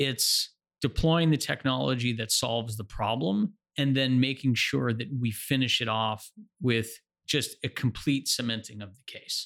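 An unremarkable speaking voice with an American accent, moderate pace, ordinary pitch variation and big swings in loudness, on a very clean recording with a silent background. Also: man, medium pitch for a man. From New Jersey. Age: 30s. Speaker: customer experience executive. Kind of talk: interview.

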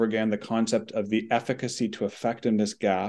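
A man with a Canadian accent speaks fairly quickly at a fairly low pitch, an unremarkable speaking voice. The background is quiet. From Canada. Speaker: oncologist and policy researcher. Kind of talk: debate.

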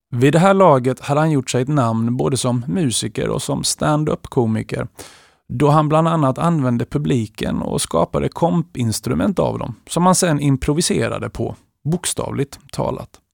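With a normal speaking voice, a man at medium pitch talks at a moderate pace with lively intonation, the sound dry and close with no echo on a very clean recording with a silent background. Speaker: music podcast host. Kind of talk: scripted narration.

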